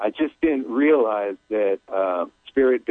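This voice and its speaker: A man speaks in an ordinary speaking voice at medium pitch. His pace is fairly slow. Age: 50s. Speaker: caller. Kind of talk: phone-in reading.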